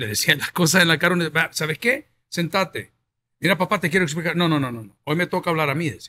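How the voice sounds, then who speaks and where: A man's bright, sharp voice, fairly high in pitch. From El Salvador. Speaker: pastor and talk show host; pastor, talk show host. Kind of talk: interview. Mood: animated, reflective. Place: studio. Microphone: studio mic.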